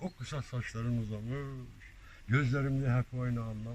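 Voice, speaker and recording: A somewhat breathy voice at a moderate pace, on a very clean recording with a silent background. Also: man. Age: 70s. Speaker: amateur poet. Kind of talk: poetry reading.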